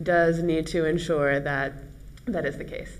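A woman with an American accent has an unremarkable speaking voice, fairly low in pitch, at a moderate pace. Light background noise sits behind her. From United States. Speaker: company CEO; guest. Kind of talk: panel discussion. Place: studio. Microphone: lapel.

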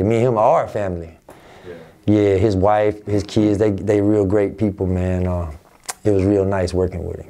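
An American man talks at a moderate pace in a fairly low pitch, with fairly even intonation. It is a plain, everyday voice. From Albany, Georgia, US South; Georgia. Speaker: rapper; interviewee. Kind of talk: interview. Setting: office. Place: office.

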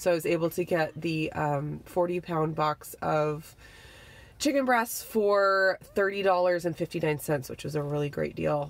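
At a moderate pace, a woman with a fairly low pitch and ordinary pitch variation speaks in a dry, echo-free sound with light background noise. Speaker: family vlogger. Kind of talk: casual vlog chat. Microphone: phone near.

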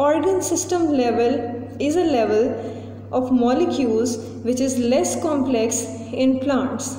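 A woman's high-pitched voice at a fairly slow pace, with ordinary pitch variation, very even loudness and audible room echo. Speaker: teacher. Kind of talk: tutorial. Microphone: phone near.

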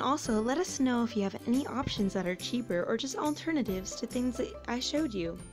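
A woman's fairly high voice at a fairly quick pace, with lively intonation, few pauses and clear music in the background.

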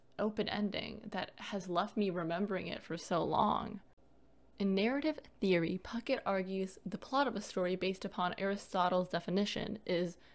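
A woman with a plain, everyday voice of medium pitch speaks at a moderate pace with ordinary pitch variation. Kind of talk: video essay narration.

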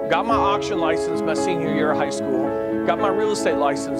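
Over loud music in the background, a man talks at a fairly quick pace with hardly any pauses in a dry sound with no echo. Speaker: auctioneer and real estate broker. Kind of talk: interview answer. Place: office. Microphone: lapel.

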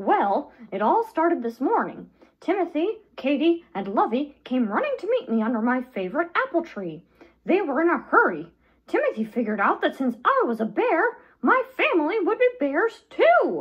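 A put-on character voice, high in pitch, swings very widely up and down. The pace is moderate. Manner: excited, upbeat.

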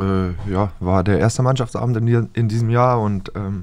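A man's intonation stays fairly even as he talks at a moderate pace, the background quiet. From northern Germany. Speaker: professional footballer; podcast guest. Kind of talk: casual chat. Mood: relaxed, casual. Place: studio. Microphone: studio mic.

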